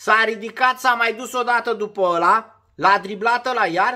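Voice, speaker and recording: A man speaks in an extremely high pitch with a bright, sharp, animated tone, his voice raised and projected. Behind him the background is quiet. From Romania. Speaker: former footballer turned sports vlogger. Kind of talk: casual monologue vlog. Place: home room. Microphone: phone near.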